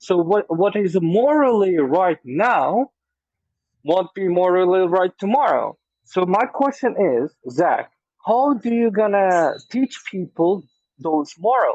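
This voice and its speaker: A man with a non-native accent speaks at a very slow pace in a high voice, with lively intonation and very even loudness. The background is quiet and the sound dry and close, with no echo. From former Soviet country. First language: not English. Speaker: debate moderator. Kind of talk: debate. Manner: halting.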